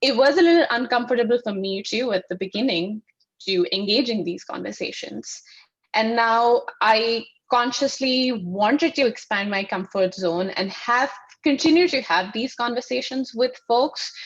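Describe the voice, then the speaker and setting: Speaking with an Indian accent, a woman uses lively intonation at a fairly high pitch. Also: moderate pace. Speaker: sustainability consultant. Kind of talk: panel discussion.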